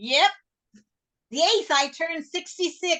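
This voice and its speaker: A woman speaks in a raised, projected voice with a bright, sharp tone. Her pitch swings very widely at a moderate pace. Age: 60s. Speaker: workshop student. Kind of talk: casual chat.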